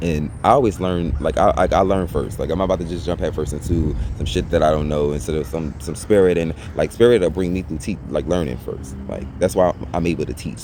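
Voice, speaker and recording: Someone speaks at a very fast pace with ordinary pitch variation. Noticeable background noise runs underneath. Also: man. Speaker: psychic medium and life coach. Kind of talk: personal vlog testimony. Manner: animated.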